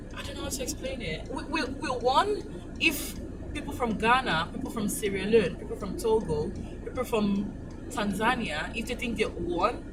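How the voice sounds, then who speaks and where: Someone with a Nigerian accent talks at a moderate pace, with very wide pitch swings and big swings in loudness, amid noticeable background noise and audible room echo. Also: woman, fairly high pitch for a woman. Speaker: trainee solicitor. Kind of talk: casual chat. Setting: in a car. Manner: halting.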